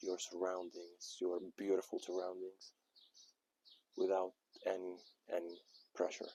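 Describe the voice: A man speaks in a low pitch with an Arabic accent, his tone dark and mellow with a slightly husky edge. His intonation is monotone and flat, and the sound is dry and close with no echo.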